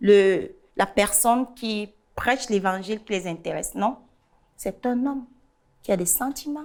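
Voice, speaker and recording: Here a woman talks at a medium pitch. Her pitch variation is ordinary. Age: 30s. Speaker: guest sharing personal story. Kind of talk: testimony. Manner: halting, repeats words.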